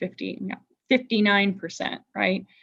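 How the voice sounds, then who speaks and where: With an American accent and some vocal fry, a woman talks at a moderate pace. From Indiana. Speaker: workshop facilitator. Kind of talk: online workshop discussion. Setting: video call.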